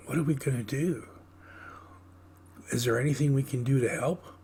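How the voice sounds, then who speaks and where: Speaking fairly quickly in a put-on character voice, a man sounds raspy at a medium pitch, with clear background noise behind him. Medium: read story.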